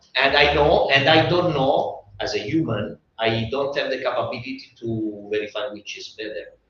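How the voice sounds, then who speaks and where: A man with an Italian accent at a moderate pace. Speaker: design expert panelist. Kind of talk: panel discussion. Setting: live event with audience. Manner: animated; halting.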